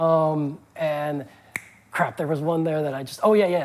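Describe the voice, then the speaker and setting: Noticeable noise fills the background. The talking goes at a fairly quick clip. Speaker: game developer. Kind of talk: interview. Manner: fast; animated.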